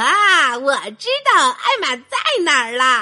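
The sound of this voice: A woman's put-on character voice, high-pitched, with a bright, sharp tone, big pitch swings, a slow pace and faint music in the background.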